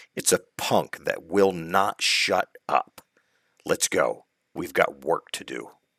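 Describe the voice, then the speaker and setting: This man adopts a put-on character voice and takes a fairly slow pace. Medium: read story. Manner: terse, stern.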